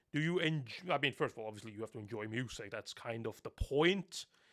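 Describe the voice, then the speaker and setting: A man with a Norwegian accent, very fast pace and lively intonation, dry and close with no echo, very clean recording with a silent background. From Norway. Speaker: anime reviewer. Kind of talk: live stream chat. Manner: casual.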